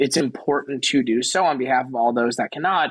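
A man speaks with a normal speaking voice. His pitch is fairly high, with ordinary pitch variation. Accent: American. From New York, Queens and Long Island. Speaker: venture capital professional. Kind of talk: interview.

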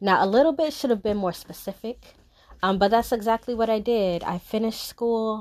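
A woman uses an ordinary speaking voice at fairly high pitch with ordinary pitch variation. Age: 30s. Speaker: solo podcast host. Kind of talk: casual solo monologue.

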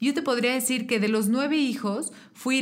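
A plain, everyday voice from a woman, moderate in pace and ordinary in pitch variation. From Mexico (Querétaro). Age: 30s. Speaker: political candidate. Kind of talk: interview.

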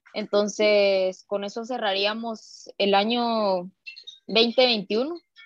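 A woman's fairly high voice with a Guatemalan accent, very slow delivery and fairly even intonation, in a dry, close sound with no echo. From Guatemala, Guatemala City. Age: 20s. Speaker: racquetball player. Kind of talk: interview.

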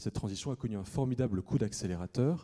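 A man's voice with ordinary pitch variation. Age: 30s. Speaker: investigative journalist and author. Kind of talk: lecture; audience Q&A answers. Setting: conference hall with audience.

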